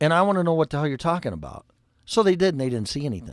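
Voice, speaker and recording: In a Chicago accent, a man with a fairly high pitch speaks in an animated tone with lively intonation, the recording very clean with a silent background and a dry, close sound with no echo. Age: 60s. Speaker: refrigeration and HVAC technician. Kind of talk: casual livestream talk.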